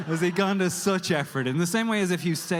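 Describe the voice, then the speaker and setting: The speech comes at a very fast pace in an Irish accent. There is noticeable background noise. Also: man. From Ireland. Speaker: standup comedian. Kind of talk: live standup comedy storytelling. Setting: live audience.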